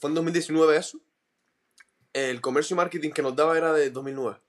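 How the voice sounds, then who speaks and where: At a fairly quick pace, a man talks in an unremarkable speaking voice with a fairly high pitch. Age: 20s. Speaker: podcaster. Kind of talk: interview.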